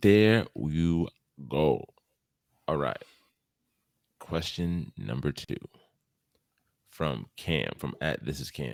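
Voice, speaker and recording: A man with an American accent, very deep and low in pitch, lively in intonation, at a very slow pace with long, frequent pauses, in a dry, close sound with no echo. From US East Coast. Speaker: podcast host. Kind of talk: casual chat.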